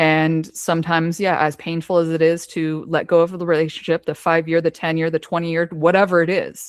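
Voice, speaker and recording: In a very clean recording with a silent background, a woman with a fairly low voice speaks at a fairly quick pace in a flat monotone, with hardly any pauses. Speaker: podcast host. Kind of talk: casual interview chat. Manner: fast.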